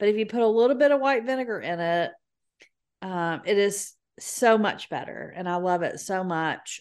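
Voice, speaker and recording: With a Southern US accent, a woman speaks at a moderate pace and medium pitch against a quiet background. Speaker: podcast co-host. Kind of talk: casual chat.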